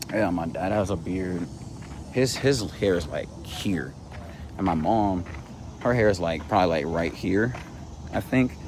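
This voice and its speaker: Speaking at a fairly slow pace with long, frequent pauses, a man with a very deep, low pitch and ordinary pitch variation is heard with audible room echo. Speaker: vlogger. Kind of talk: casual vlog monologue. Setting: outdoors, walking in a park.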